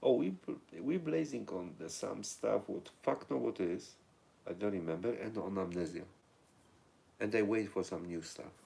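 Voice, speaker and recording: Speaking in a Polish accent, a man with a very deep, low pitch and vocal fry talks at a moderate pace with lively intonation. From Poland. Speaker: livestream host. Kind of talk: casual live chat reading viewer comments.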